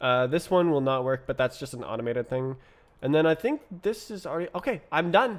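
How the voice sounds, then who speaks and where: A man speaks with a normal speaking voice, pitched fairly high. His intonation is lively. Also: fairly quick pace. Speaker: programming livestreamer. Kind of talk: live coding stream.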